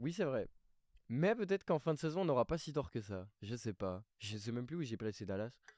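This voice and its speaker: Recorded very cleanly against a silent background, a man talks at a fairly quick pace in a medium pitch with very wide pitch swings, the sound dry and close with no echo. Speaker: basketball podcast co-host. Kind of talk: casual chat.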